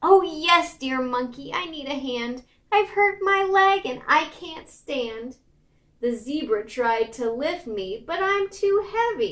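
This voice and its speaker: This woman speaks in a put-on character voice. Her pitch is high. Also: fairly slow pace. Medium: read story.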